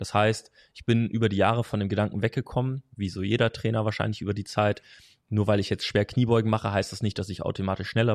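At a very fast pace, a man speaks at a fairly low pitch in a monotone, flat way, sounding dry and close with no echo on a very clean recording with a silent background. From Hesse, Germany. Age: 20s. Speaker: strength and conditioning coach. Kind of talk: casual interview. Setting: in person.

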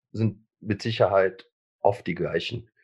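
At a very slow pace, a man speaks in a somewhat breathy voice. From Germany, Lower Rhine. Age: 50s. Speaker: former eating disorder patient, self-help group co-founder. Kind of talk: interview testimony. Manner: halting, many fillers and repetitions.

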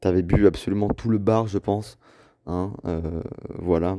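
Against a quiet background, a man speaks with a fairly low pitch and a dark, mellow tone. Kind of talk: recorded birthday voice message. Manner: flat, low-energy; hesitant, filler-heavy.

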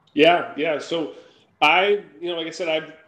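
Speaking at a moderate pace, a man with an unremarkable speaking voice keeps his intonation fairly even. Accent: American. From Minnesota, US Midwest. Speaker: angel investor and founder. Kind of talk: interview.

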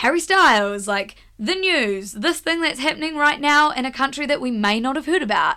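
In a New Zealand accent, a woman speaks high and bright with a sharp tone, her raised, projected voice swinging very widely in pitch at a moderate pace with hardly any pauses. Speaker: media company co-founder. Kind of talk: casual chat. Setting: studio.

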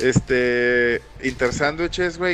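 The speaker is a man. He has a Mexican accent. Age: 20s. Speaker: podcast host. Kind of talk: casual chat. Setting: live stream.

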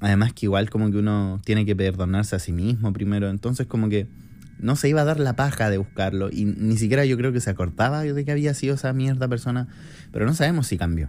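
A man with a Chilean accent talks at a very fast pace in a fairly low pitch, with a dark, mellow tone and ordinary pitch variation. His loudness stays very even, and the recording is very clean with a silent background. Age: 20s. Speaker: podcaster. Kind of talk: casual monologue.

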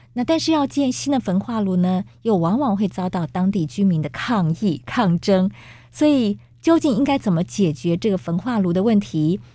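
At a moderate pace, a woman speaks at medium pitch with a dark, mellow tone, a somewhat breathy quality and very wide pitch swings. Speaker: radio host. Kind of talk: radio interview. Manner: formal.

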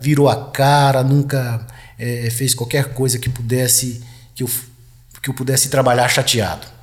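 Audible room echo surrounds a man speaking at a fairly slow pace. His voice is somewhat breathy and medium in pitch. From Goiás, Brazil. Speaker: retired military police colonel. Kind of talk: casual interview chat. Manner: halting, repeats words.

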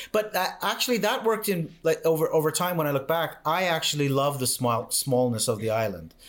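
A man's fairly high, fairly quick voice with very wide pitch swings and very even loudness, over noticeable background noise. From Canada. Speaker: mindset coach. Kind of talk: interview conversation. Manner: halting, repetitive.

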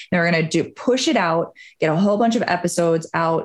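A woman speaks with an American accent in a normal speaking voice, fairly low in pitch. Her pace is fairly quick and her intonation lively. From Wisconsin, US Midwest. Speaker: hypnotherapist and business mindset coach. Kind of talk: podcast interview.

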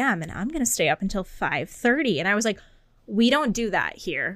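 In a normal speaking voice with an American accent, a woman talks at a fairly quick pace with lively intonation, on a very clean recording with a silent background. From rural Massachusetts. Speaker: podcast co-host. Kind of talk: casual chat.

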